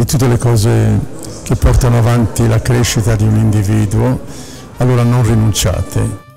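Clear music plays in the background. The speaker leaves long, frequent pauses. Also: man, moderate pace. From Milan. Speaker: actor. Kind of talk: interview answer. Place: hall. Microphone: handheld.

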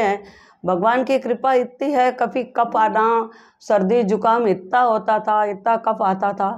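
A woman's fairly high voice at a very slow pace, with fairly even intonation. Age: 70s. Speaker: patient giving testimonial. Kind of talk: testimony. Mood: grateful, warm. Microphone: lapel.

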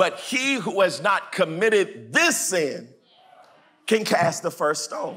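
A man speaks at a very slow pace in a raised, projected voice. His pitch is high, with lively intonation. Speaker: pastor. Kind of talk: sermon. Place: church. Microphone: lapel.

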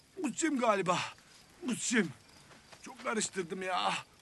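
In a raised, projected voice, a man speaks at a moderate pace with very wide pitch swings, the sound dry with no echo. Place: open country.

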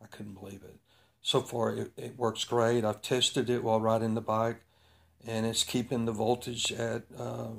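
A man's flat, monotone delivery at a moderate pace over a quiet background. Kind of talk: tutorial. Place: garage. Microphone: phone near.

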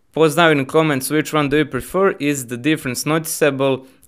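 A man speaks at a fairly quick pace in a fairly high, fairly bright voice with fairly even intonation.

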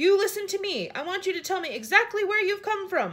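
Putting on a character voice, a woman speaks at an extremely high pitch with big pitch swings, a fairly bright tone and a fairly quick pace.

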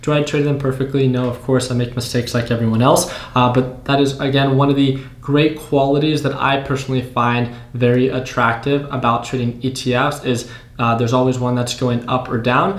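A man at a fairly quick pace, monotone and flat, with audible room echo. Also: medium pitch for a man. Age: 20s. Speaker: YouTube day trading educator. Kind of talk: casual tutorial to camera. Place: home room.

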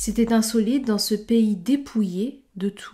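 In a very clean recording with a silent background, a woman speaks very slowly in a fairly high, somewhat breathy voice with a dark, mellow tone and ordinary pitch variation. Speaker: book club host for French learners. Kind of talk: literary audiobook reading. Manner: slow, measured, clear and steady, formal, evenly paced for learners.

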